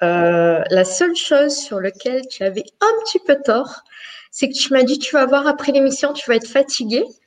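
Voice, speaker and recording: A woman speaks at a fairly slow pace with lively intonation. It is a normal speaking voice. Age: 40s. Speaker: live show participant. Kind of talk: casual chat.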